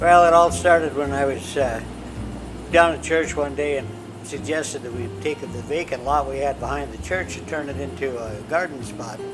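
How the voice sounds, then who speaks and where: A man with a medium pitch talks at a moderate pace, his pitch swinging very widely and his loudness rising and falling in big swings. Noticeable background noise and audible room echo surround him. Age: 70s. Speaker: retired continuing education student. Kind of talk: interview testimony. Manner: halting, with fillers and repetitions.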